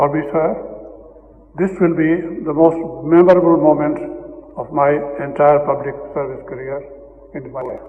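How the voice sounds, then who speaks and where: A man with a fairly high pitch at a moderate pace, fairly even in intonation, with long, frequent pauses, noticeable background noise and audible room echo. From Northern India. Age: 80s+. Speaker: retired diplomat. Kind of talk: award acceptance speech. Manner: formal.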